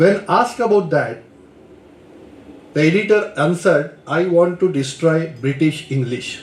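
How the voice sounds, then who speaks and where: A man's high-pitched voice with a Marathi accent, lively intonation and a fairly slow pace, with long, frequent pauses, audible room echo and noticeable background noise. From India, Maharashtra. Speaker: lecturer. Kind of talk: lecture. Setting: lecture hall with audience. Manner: hesitant, with fillers.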